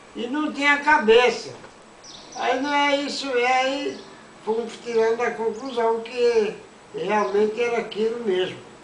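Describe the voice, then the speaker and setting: A man with an extremely high pitch speaks at a fairly slow pace with fairly even intonation and long, frequent pauses, against noticeable background noise. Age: old. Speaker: grandfather storyteller. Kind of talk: casual telling of a childhood anecdote.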